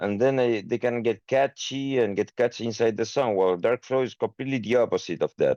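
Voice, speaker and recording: Here a man speaks at a medium pitch. The background is quiet. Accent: Spanish. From Chile. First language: Spanish. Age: 30s. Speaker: metal band singer. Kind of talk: interview. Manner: halting, many fillers.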